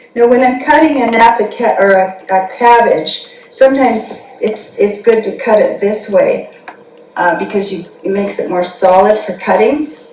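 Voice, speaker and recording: A woman at a fairly high pitch with ordinary pitch variation and a moderate pace, amid audible room echo and noticeable background noise. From Canada. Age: 70s. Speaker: dietitian. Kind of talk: cooking demonstration.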